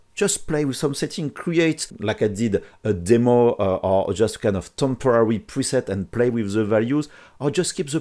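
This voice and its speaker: A man with a French accent talks at a moderate pace and a medium pitch, his intonation lively. His tone is dark and mellow, and the recording is very clean over a silent background. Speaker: 3D printing software tutor. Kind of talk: tutorial. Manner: hesitant with fillers.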